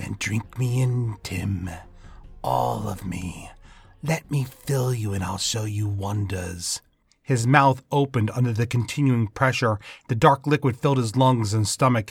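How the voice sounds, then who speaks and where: A man delivers a theatrical, sinister tone, somewhat breathy and fairly slow, on a very clean recording with a silent background. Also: medium pitch for a man, ordinary pitch variation. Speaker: fiction podcast narrator. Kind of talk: horror narration; scripted fiction reading. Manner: theatrical, relishing dark menace; slow, ominous, with sinister laughs.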